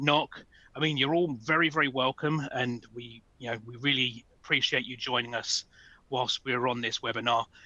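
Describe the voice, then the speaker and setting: A man with a British accent speaks at a fairly high pitch and a moderate pace, his intonation fairly even. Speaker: sales engineering manager. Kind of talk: webinar presentation. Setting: online webinar.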